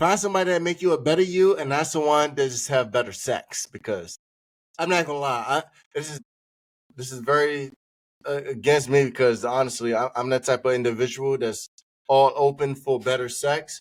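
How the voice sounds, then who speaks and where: A man talks in an ordinary speaking voice at a fairly high pitch with ordinary pitch variation. His pace is fairly quick. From Washington DC area. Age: 20s. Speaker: podcast host. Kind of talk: casual chat.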